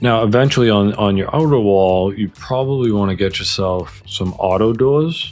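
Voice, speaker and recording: A man speaks at a moderate pace. His voice is fairly low, with ordinary pitch variation. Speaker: gaming youtuber. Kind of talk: gameplay tutorial commentary. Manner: loud; casual with fillers.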